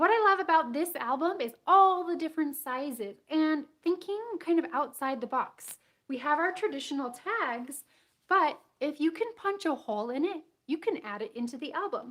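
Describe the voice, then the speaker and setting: With an animated tone and lively intonation, a woman speaks at a moderate pace in an extremely high pitch. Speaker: scrapbooking teacher. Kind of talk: live-streamed craft class. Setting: livestream.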